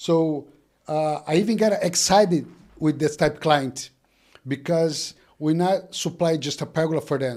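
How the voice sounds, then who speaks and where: Very cleanly recorded against a silent background, the speaker talks at a fairly slow pace with a Brazilian Portuguese accent and ordinary pitch variation. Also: man, fairly high pitch for a man. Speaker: business owner. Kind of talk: casual chat. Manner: halting, repeats words.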